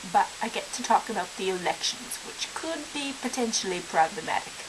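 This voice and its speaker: Noticeable noise sits behind a woman speaking. She has an American accent and lively intonation. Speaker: vlogger. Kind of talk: casual vlog. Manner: idiosyncratic speech with slang abbreviations.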